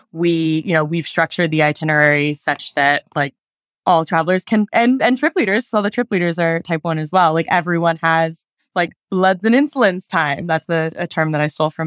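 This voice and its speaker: With an American accent, a woman speaks in a plain, everyday voice at a fairly low pitch, with ordinary pitch variation and a moderate pace. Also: very clean recording, silent background. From Denver, Colorado. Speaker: founder of a travel company for people with diabetes. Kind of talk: interview.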